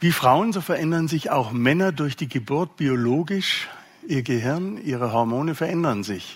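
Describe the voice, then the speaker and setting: A man's fairly high voice with lively intonation, a moderate pace and audible room echo. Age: 60s. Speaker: parenting speaker. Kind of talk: lecture.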